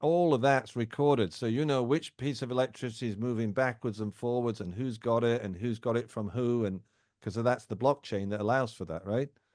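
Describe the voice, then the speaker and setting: Against a quiet background, a man with an English accent talks at a moderate pace, with a medium pitch and ordinary pitch variation. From England. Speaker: podcast host. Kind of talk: interview.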